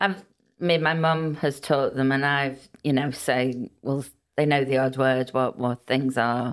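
Her pitch is very deep and low for a woman, with fairly even intonation, very even loudness and a fairly slow pace. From Liverpool, England, Welsh family. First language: Welsh. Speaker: midwife. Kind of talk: interview.

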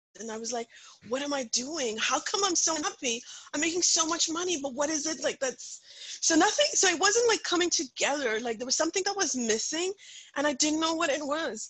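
A woman talks at a fairly quick pace in a high voice with lively intonation over noticeable background noise. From rural India, Punjabi family. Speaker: author and speaker. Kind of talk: interview conversation.

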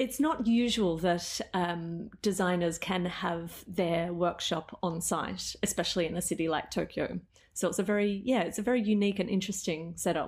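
Speaking at a moderate pace with hardly any pauses, a woman with an Australian accent keeps a medium pitch, ordinary pitch variation and very even loudness. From Australia, Melbourne. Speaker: photographer and business owner. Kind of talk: casual interview chat.

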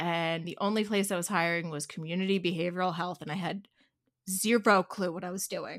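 In a strong Philadelphia accent, a woman speaks at a fairly quick pace with a medium pitch. The recording is very clean, with a silent background. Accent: strong Delco (Philadelphia-area). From Delaware County, Pennsylvania (Philadelphia suburbs). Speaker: therapist. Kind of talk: casual interview chat. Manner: animated.

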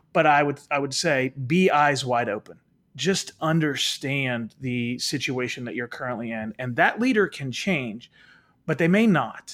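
A man with a normal speaking voice talks at a fairly slow pace, his fairly high pitch carried by lively intonation. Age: 40s. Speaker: leadership author and speaker. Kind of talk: interview.

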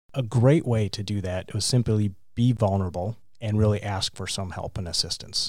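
With an ordinary speaking voice, a man talks at a moderate pace with fairly low pitch and fairly even intonation. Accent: American. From Wisconsin, US Midwest. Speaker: business leadership group chair. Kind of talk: interview.

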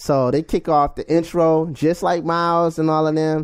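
Against a quiet background, a man with an American accent speaks at a moderate pace in a plain, everyday voice. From Washington, DC. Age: 30s. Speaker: jazz bassist. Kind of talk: casual interview.

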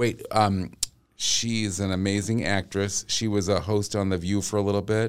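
A man in a Boston accent speaks at a moderate pace, his fairly low voice holding very even loudness. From Massachusetts, US. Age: 50s. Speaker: vocal coach. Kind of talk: casual chat. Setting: studio. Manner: animated.

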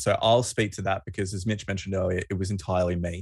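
Over a quiet background, a man with an Australian accent speaks at a fairly quick pace in a fairly low, somewhat breathy voice with ordinary pitch variation. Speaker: rugby podcast co-host. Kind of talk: casual chat.

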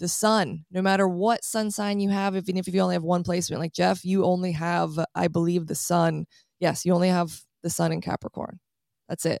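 A woman speaks with monotone, flat intonation. The recording is very clean with a silent background, and the sound is dry and close with no echo. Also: fairly quick pace. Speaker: astrologer. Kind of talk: casual chat. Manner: fast talker.

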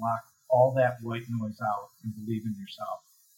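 Music in the background behind a man with an American accent, medium pitch, fairly even intonation and a moderate pace. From US Midwest, Chicago area (Highland Park, Illinois). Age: 50s. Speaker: commercial real estate investor and CEO. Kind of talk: interview conversation.

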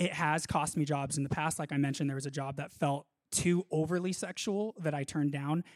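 On a very clean recording with a silent background and a dry, close sound with no echo, a man with an American accent speaks at a fairly high pitch and fairly quick pace with fairly even intonation. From Southern California. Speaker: actor. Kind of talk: testimony interview.

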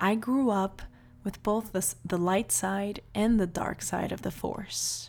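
A woman with a Portuguese accent speaks at a medium pitch and a very slow pace. Her tone is warm. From Brazil (Salvador, Bahia). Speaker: podcast host, life coach. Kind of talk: personal monologue. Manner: warm, with frequent laughs.

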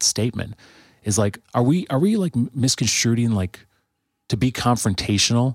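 A man with a normal speaking voice, medium in pitch, at a moderate pace, in a very clean recording with a silent background and a dry, close sound with no echo. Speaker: guest, musician and church friend. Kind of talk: casual podcast chat.

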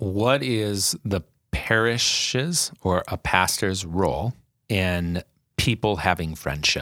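Very slowly and with lively intonation, a man with a fairly low pitch speaks on a very clean recording with a silent background. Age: 40s. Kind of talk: casual interview.

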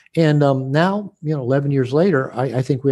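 American-accented man at medium pitch and a moderate pace, over a quiet background. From United States. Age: 60s. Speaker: author and therapist. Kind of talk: interview conversation. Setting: video call. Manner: hesitant with frequent word repetitions.

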